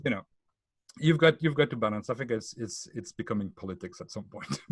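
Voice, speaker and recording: Speaking in a French accent at a fairly quick pace, the voice is somewhat breathy, with lively intonation and big swings in loudness. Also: man, medium pitch for a man. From France. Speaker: tech book author. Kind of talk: podcast interview. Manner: halting, many repetitions.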